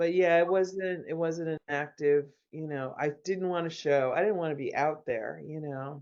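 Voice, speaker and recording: A woman with a very deep, low pitch, fairly even intonation, a moderate pace, and hardly any pauses. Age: 60s. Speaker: visual artist. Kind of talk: casual chat.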